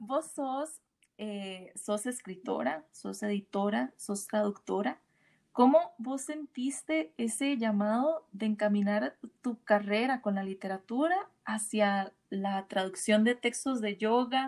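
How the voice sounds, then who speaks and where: At a very slow pace, a woman with a fairly high pitch speaks with lively intonation. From Costa Rica. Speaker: podcast host. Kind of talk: interview.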